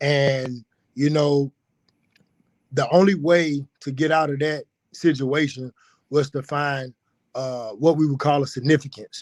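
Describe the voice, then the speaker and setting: With long, frequent pauses, a man in a rural Alabama accent talks at a fairly high pitch and fairly even intonation, the sound dry and close with no echo. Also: fairly slow pace. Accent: US Southern, rural Alabama. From rural west Alabama, Pickens County. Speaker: personal trainer. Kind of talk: podcast interview.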